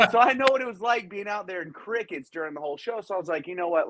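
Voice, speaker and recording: A man's very fast, animated delivery, high in pitch with very wide pitch swings. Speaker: professional wrestler. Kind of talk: interview. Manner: loud.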